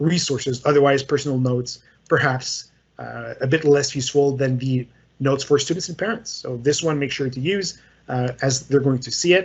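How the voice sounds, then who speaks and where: A man with a Quebec accent speaks at a moderate pace in a fairly high, somewhat breathy voice, with ordinary pitch variation and big swings in loudness. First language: French. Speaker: software trainer. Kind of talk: tutorial. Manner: casual, hesitant with fillers.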